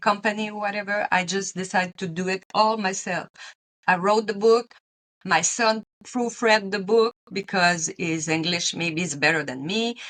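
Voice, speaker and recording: With fairly even intonation, a woman speaks in a Quebec accent. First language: French. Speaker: retired teacher and pilgrim author. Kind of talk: interview.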